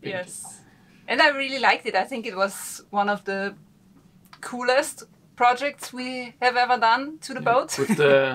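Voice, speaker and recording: A woman's high-pitched voice with ordinary pitch variation at a fairly slow pace. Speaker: sailing vlogger. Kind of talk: casual vlog chat. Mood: cheerful, relaxed. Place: boat. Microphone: camera far.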